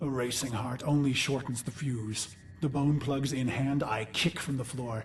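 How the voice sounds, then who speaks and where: Clear background noise sits behind a man doing a put-on character voice in an intense tone. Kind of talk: dark dramatic monologue. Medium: video game. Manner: intense, brooding.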